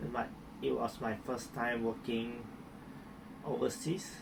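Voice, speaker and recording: This man talks at a fairly slow pace, and noticeable background noise fills the recording. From Malaysia, Miri, Sarawak. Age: 30s. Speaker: hairdresser. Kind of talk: interview testimony. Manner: halting, with repetitions.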